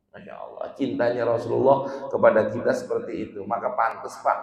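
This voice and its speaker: A man talks at a fairly quick pace in an animated tone. Noticeable background noise and audible room echo are present. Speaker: Islamic preacher. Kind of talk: religious lecture to congregation. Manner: animated, colloquial.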